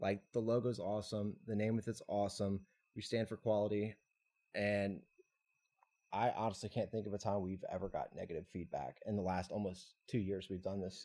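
A man's fairly low voice with a Louisiana accent, fairly even intonation, and a moderate pace. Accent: Louisiana Southern US. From Louisiana (Tangipahoa Parish). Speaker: clothing brand co-founder. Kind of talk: casual interview.

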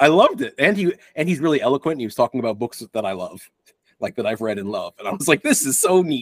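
A man speaks at a very fast pace with an American accent, his pitch fairly high. His voice swings very widely up and down. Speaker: podcast co-host. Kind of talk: casual chat.

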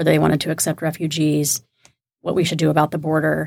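A woman with an American accent speaks at a very fast pace in a very deep, low pitch marked by vocal fry. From Texas, Houston suburbs. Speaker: political strategist. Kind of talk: panel discussion. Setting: studio.

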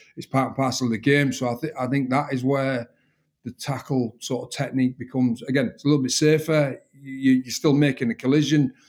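In a strong northern English accent, a man speaks at a very fast pace and a medium pitch, with monotone, flat intonation. The recording is very clean, with a silent background. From northern England, Hull. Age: 40s. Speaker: rugby defence coach, former rugby league player. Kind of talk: interview. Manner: repeats words when thinking.

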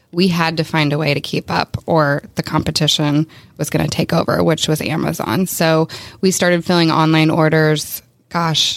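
At a moderate pace, a woman speaks in a very deep, low pitch with monotone, flat intonation. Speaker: podcast co-host. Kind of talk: casual interview. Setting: studio.

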